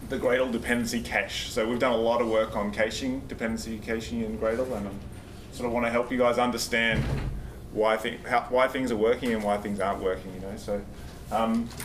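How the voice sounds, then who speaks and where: With an Australian accent, a man speaks at a fairly quick pace and medium pitch in a monotone, flat intonation, amid noticeable background noise and audible room echo. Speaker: software engineer, conference speaker. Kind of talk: conference talk. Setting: stage with audience. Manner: fast when nervous; casual, halting with fillers.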